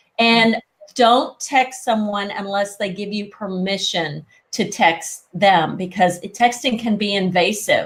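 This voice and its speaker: The voice is somewhat breathy and very slow in pace, with a slight Southern US accent. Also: woman, medium pitch for a woman, ordinary pitch variation. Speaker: etiquette expert. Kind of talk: interview.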